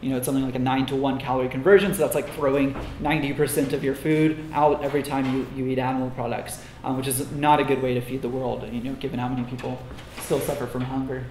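Over light background noise and audible room echo, a man talks very fast in a monotone, flat delivery. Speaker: conference speaker. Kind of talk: lecture. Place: classroom.

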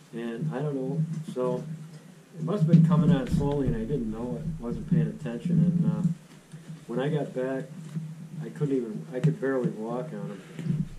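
A man talks with long pauses that come often, while background noise is clearly audible. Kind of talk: casual storytelling at a meal. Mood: relaxed, amused. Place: home room. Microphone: camera far.

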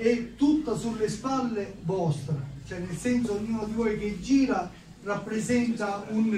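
A man speaks at a high pitch for a man with ordinary pitch variation. Audible room echo and light background noise surround him. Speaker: speaker. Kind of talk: political speech. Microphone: handheld.

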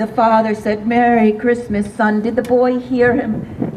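A woman with an American accent speaks at a fairly high pitch. Noticeable background noise runs under her voice. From US Midwest. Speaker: storyteller. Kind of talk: storytelling performance. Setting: outdoor event with audience. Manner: animated. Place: street. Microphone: camera far.

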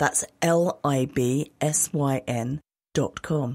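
A woman's very deep, low voice with a dark, mellow tone and ordinary pitch variation, in a dry, close sound with no echo. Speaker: co-host reader. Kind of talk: scripted podcast intro and outro.

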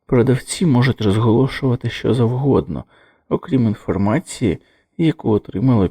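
Someone is doing plain reading aloud. Behind the voice, the background is quiet.

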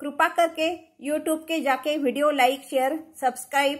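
The speech moves at a very slow pace with fairly even intonation over a quiet background. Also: woman. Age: 50s. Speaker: talent contest participant. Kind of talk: religious storytelling. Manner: halting. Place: home room. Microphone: phone near.

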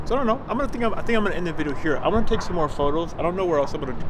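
A man speaks over noticeable background noise. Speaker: vlogger. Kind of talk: casual vlog chat. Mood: reflective, nostalgic. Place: street. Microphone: phone near.

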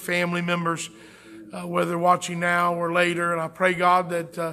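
The man has a high voice. He talks at a middling speed. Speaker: pastor. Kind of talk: sermon and prayer. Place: church.

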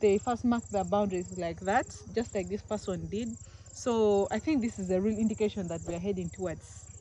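With light noise in the background, a woman speaks at a moderate pace and with ordinary pitch variation. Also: dry sound with no echo. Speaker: travel vlogger. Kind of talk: casual vlog chat. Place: open country. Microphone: phone near.

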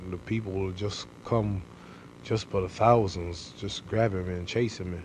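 Over light background noise, a man speaks slowly-ish at a fairly low pitch, his intonation fairly even. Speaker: interviewee. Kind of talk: interview answer. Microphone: old recording.

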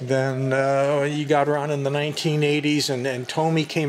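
A man speaks with fairly even intonation. Light background noise can be heard. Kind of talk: casual explanatory commentary. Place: shop. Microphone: phone near.

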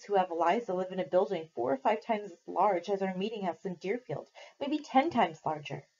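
The voice is natural as the words are read aloud. Its pitch rises and falls in an ordinary way.

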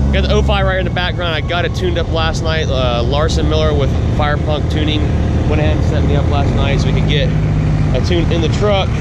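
With loud background noise behind him, a man talks at a very fast pace in a dry sound with no echo. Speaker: vlogger. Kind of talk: casual vlog chat. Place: open country. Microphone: phone near.

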